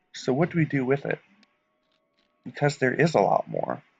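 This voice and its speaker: Behind a man talking at a moderate pace with ordinary pitch variation, music plays. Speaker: gaming youtuber. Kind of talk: monologue over gameplay. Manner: quiet.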